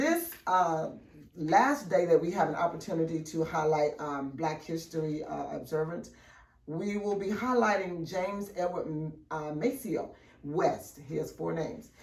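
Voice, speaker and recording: Over noticeable background noise and audible room echo, a woman with a fairly low pitch speaks at a fairly slow pace. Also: ordinary pitch variation. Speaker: school morning news presenter. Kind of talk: school announcements. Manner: loud; animated.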